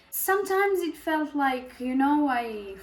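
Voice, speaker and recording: With a Serbian accent, a woman speaks in very wide pitch swings amid audible room echo. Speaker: beauty vlogger. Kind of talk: casual chat. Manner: halting, many fillers and pauses.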